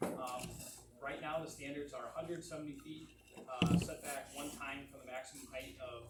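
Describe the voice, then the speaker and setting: A man talks over noticeable background noise, with audible room echo. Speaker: planning consultant. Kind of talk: public meeting presentation. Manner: fast; halting, repeats words.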